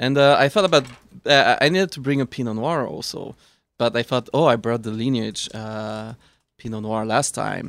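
Recorded very cleanly over a silent background, a man speaks at a moderate pace and medium pitch, with ordinary pitch variation and big swings in loudness. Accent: Swiss. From Switzerland. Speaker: wine expert. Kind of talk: casual chat with tasting notes.

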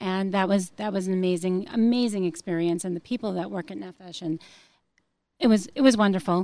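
Heard in a very clean recording with a silent background, a woman with an American accent uses a plain, everyday voice at a medium pitch, her intonation fairly even but her loudness swinging widely. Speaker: relocation consultant. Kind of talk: interview.

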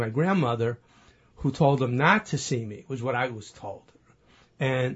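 A somewhat breathy man at a moderate pace with ordinary pitch variation. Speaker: man who found his birth family. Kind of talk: storytelling interview.

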